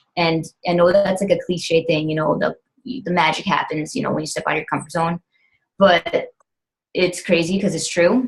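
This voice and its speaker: A somewhat breathy woman's voice, fairly low in pitch, with ordinary pitch variation. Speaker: fitness coach. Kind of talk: team call talk. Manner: fast; animated.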